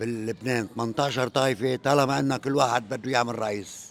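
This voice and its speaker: A man with a Lebanese accent speaks at a fairly slow pace, keeping a medium pitch and fairly even intonation. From Lebanon. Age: 70s. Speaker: interviewee in street interview. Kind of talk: street interview.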